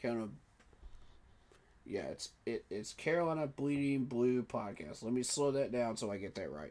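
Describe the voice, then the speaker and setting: Delivered at a moderate pace, the speech has lively intonation broken by long, frequent pauses. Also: man, medium pitch for a man. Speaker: sports reaction streamer. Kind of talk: casual live-stream commentary.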